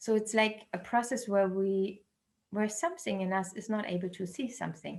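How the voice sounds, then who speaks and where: With a non-native accent, a woman speaks in a somewhat breathy voice with fairly even intonation. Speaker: researcher and dialogue facilitator. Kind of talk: online talk. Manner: halting, many fillers.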